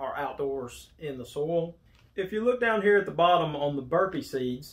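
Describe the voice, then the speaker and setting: A man talks at a moderate pace in a fairly high voice, his pitch varying in an ordinary way. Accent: Alabama. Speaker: gardening YouTuber. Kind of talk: tutorial. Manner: casual.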